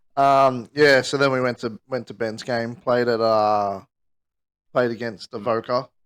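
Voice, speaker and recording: With a medium pitch, a man speaks at a fairly slow pace and with fairly even intonation. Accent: Australian. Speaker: podcast co-host. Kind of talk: casual chat. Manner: halting.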